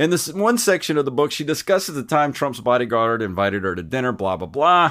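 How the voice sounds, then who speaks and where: A man with a Southern US accent at a fairly quick pace, with very wide pitch swings. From US South. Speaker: retro gaming podcast host. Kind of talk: casual chat.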